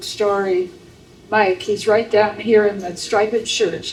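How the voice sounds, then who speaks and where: A woman talks at a moderate pace in an Upper Midwest accent. Background noise is noticeable. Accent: Upper Midwest American. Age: 80s+. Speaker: memoir author, local historian. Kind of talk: live interview.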